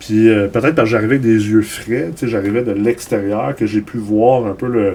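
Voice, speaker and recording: A man with a Quebec accent, fairly low pitch, ordinary pitch variation and a fairly quick pace. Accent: Québécois French. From Los Angeles, US, raised by Québécois parents. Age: 40s. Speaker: entrepreneur. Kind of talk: interview. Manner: repetitive stammering.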